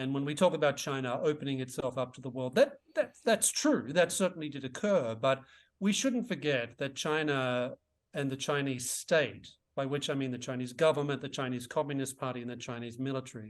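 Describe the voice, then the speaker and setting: In an Australian accent, a man with a fairly high pitch talks at a fairly quick pace against a quiet background. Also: ordinary pitch variation. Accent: Australian, often taken for English. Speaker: author and economist. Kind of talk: interview.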